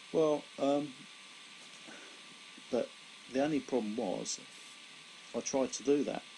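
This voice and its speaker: With a southern English accent, a man at a medium pitch speaks at a fairly slow pace, his tone dark and mellow, his pitch variation ordinary, and his pauses long and frequent. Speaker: stroke survivor. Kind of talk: personal testimony. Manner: slow, laboured speech; halting, with repetitions.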